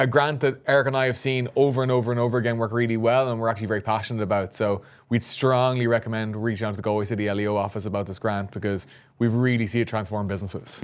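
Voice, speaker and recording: Here a man with an Irish accent talks at a very fast pace. His medium-pitched voice has fairly even intonation. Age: 20s. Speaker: podcast co-host, startup founder. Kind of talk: casual chat.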